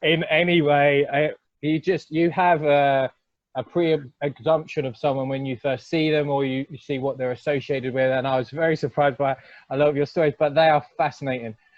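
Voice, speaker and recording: A man with a British accent, a fairly high pitch and fairly even intonation. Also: fairly quick pace. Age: 30s. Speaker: podcast host, wrestling promoter. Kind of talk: interview. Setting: podcast.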